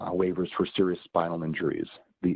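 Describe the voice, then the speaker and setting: Speaking at a fairly quick pace, a man with an American accent has a fairly low pitch. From Boston, US Northeast. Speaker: healthcare software presenter. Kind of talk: webinar presentation. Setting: online webinar.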